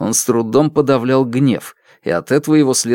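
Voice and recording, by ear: Reading aloud in a natural voice with a quiet background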